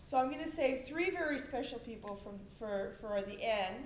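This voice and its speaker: A high-pitched woman with lively intonation at a moderate pace, amid noticeable background noise and audible room echo. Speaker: school administrator. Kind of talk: thank-you speech. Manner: loud. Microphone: no microphone.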